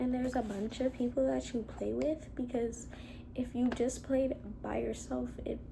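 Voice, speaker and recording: A soft-spoken woman talks at a moderate pace. Audible room echo and noticeable background noise surround her voice. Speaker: solo vlogger. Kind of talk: casual monologue. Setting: at home, in a room with a cat.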